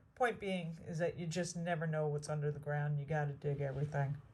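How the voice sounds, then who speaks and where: A woman speaks at a very deep, low pitch with fairly even intonation. Her voice is somewhat breathy. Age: 60s. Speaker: metal detecting vlogger. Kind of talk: casual outdoor vlog narration. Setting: outdoors in the woods.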